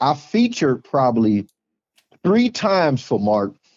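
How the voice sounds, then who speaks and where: A man's plain, everyday voice at a medium pitch, with an American accent. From Ohio (Cleveland). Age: 40s. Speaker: stand-up comedian. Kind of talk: casual interview chat.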